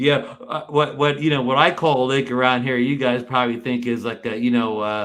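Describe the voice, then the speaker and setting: A man talks at a fairly quick pace with hardly any pauses. His is a plain, everyday voice with fairly even intonation. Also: medium pitch for a man. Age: 60s. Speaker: show guest. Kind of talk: casual chat. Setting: live stream.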